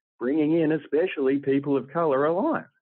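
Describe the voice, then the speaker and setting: The speaker has an Australian accent. The pitch varies in an ordinary way. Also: man. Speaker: political commentator. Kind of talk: panel discussion.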